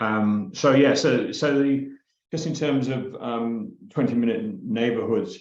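Audible room echo surrounds the recording. A man's voice swings very widely in pitch. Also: fairly high pitch for a man, fairly slow pace. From England. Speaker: community trust chair. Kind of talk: presentation.

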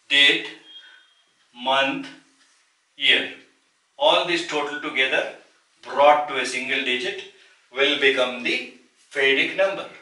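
In an Indian accent, a man speaks fairly slowly at a fairly high pitch with fairly even intonation, long, frequent pauses and audible room echo. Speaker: numerology teacher. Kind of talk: tutorial. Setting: solo video recording. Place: home room. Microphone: camera far.

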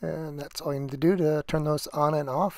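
Moderate-paced speech from a man, dry sound with no echo. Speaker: person reviewing audio gear. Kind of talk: tutorial. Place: church. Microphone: phone near.

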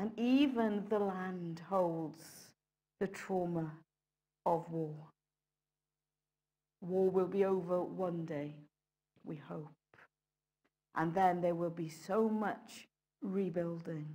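A dark, mellow voice moves at a very slow pace with ordinary pitch variation and long, frequent pauses against a quiet background. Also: woman, fairly low pitch for a woman. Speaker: preacher. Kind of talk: sermon. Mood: solemn, reflective. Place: church.

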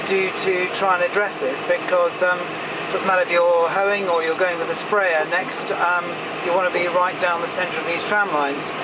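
The speech moves at a fairly quick pace. Loud background noise runs underneath. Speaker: farmer driving the tractor. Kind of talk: casual commentary while working. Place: farm machine.

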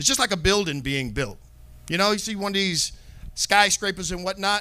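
Projecting his voice, a man speaks at a moderate pace in a high, bright, sharp tone. His pitch shows ordinary variation. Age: 40s. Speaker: bible teacher. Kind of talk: bible class. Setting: live online class. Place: studio. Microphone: handheld.

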